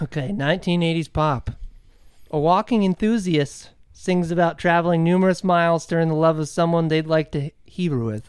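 A silent background marks this very clean recording. The talking goes at a fairly quick pace. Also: man, high pitch for a man, ordinary pitch variation. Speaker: podcast host, dad. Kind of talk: casual chat.

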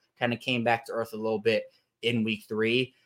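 A man speaks at a fairly quick pace with an American accent. He has a plain, everyday voice at a medium pitch. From Baltimore, Maryland. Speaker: sports podcaster and writer. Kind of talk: casual chat.

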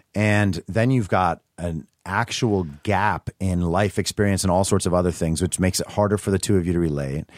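A man's very deep, low voice at a moderate pace, with ordinary pitch variation, hardly any pauses, and a dry, close sound with no echo. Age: 30s. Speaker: writer and party promoter. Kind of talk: casual chat.

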